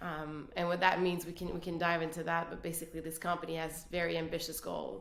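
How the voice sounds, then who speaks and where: Speaking in a Quebec accent, a woman uses a fairly low pitch and a monotone, flat intonation, with audible room echo around her. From Quebec City, Canada. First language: French. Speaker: business executive. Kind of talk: casual interview.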